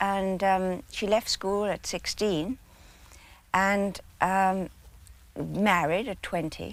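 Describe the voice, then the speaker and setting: A woman with a medium pitch speaks with an English accent. Her pace is very slow. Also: very clean recording, silent background. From England. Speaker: biographer. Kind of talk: interview answer. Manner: soft-spoken.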